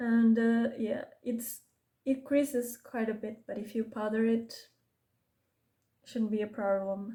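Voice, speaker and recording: A woman talks at a fairly slow pace in a fairly high pitch, her dark, mellow tone delivered with monotone, flat intonation. Long pauses come often. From Portugal. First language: Portuguese. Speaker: beauty vlogger. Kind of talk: casual makeup tutorial chat. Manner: halting, self-correcting.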